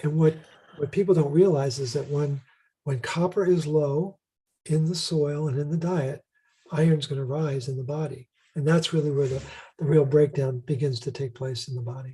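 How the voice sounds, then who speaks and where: A man with a fairly high pitch speaks in a dark, mellow, somewhat breathy tone. His moderate pace is broken by long, frequent pauses, and his intonation stays fairly even. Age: 60s. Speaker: health protocol creator and author. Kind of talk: interview.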